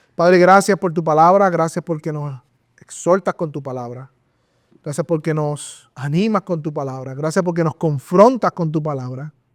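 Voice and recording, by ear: With a very clean recording and a silent background, a man speaks at a fairly high pitch and a moderate pace with ordinary pitch variation.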